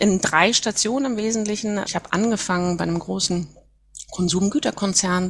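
A somewhat breathy woman at a fairly quick pace with ordinary pitch variation. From northern Germany, Mecklenburg Baltic coast near Wismar. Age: 40s. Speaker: HR manager. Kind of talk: interview.

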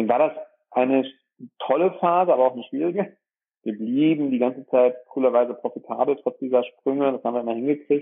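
A man rattles along very fast, his pitch medium and its variation ordinary. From Germany, Dorsten (Ruhr area / Münsterland border). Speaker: dentist and practice owner. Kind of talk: interview. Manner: hesitant with many filler sounds.

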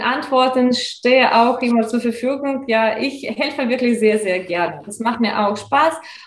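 In a Russian accent, a woman speaks at a fairly slow pace with a high pitch. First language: Russian (speaking German). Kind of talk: interview. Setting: video call.

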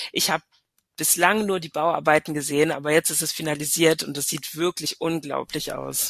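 Her pitch very deep and low, a woman speaks at a moderate pace in monotone, flat intonation, with big swings in loudness. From Hesse and Paris, German-French upbringing. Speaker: tourism destination marketing manager. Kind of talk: casual interview.

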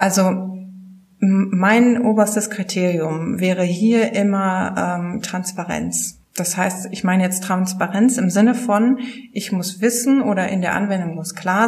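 A woman of medium pitch speaks at a very slow pace, somewhat breathy, with fairly even intonation. Room echo is audible. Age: 30s. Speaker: publishing sales manager. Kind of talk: casual interview.

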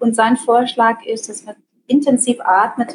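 At a fairly slow pace, a woman speaks in a fairly high pitch. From Germany. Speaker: psychologist and self-management trainer. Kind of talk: interview. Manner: hesitant with many fillers.

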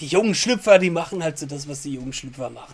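A man's fairly quick delivery. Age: 30s. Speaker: podcast host and guitar teacher. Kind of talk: casual chat.

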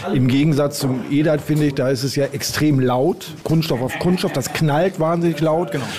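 Against noticeable background noise, a man with a fairly high pitch talks at a moderate pace with very even loudness, fairly even intonation and hardly any pauses. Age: 60s. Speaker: amateur darts player. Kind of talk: interview.

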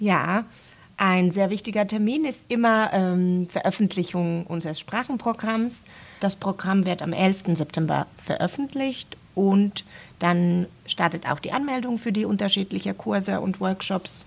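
A woman talks at a fairly slow pace. Her pitch is medium, with ordinary variation. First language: Finnish (speaking German). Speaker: university language centre staff. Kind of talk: casual interview. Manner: hesitant with fillers.

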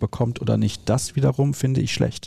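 The voice is somewhat breathy with a dark, mellow tone, moving at a moderate pace with ordinary pitch variation in a dry, close recording with no echo. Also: man. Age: 30s. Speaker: podcast host. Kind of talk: casual chat.

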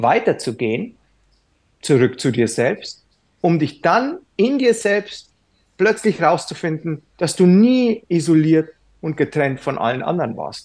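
Very slowly and with long, frequent pauses, a man talks in a high voice that swings very widely in pitch over a quiet background. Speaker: yoga teacher. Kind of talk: casual chat.

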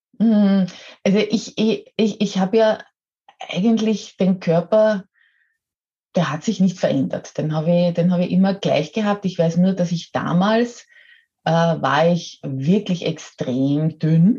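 A woman speaks very slowly in a medium-pitched, somewhat breathy voice with a dark, mellow tone and ordinary pitch variation. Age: 50s. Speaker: model and coach. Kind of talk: interview.

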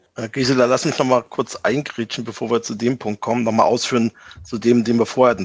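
Against a quiet background, a man with a medium pitch and vocal fry talks at a fairly quick pace. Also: dry, close sound with no echo. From eastern Germany. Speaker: tech sales executive. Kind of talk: interview. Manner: halting, many fillers.

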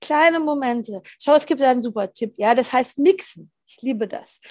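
A woman speaks at a moderate pace in a high voice. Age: 40s. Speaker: philosopher and author. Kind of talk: casual interview chat.

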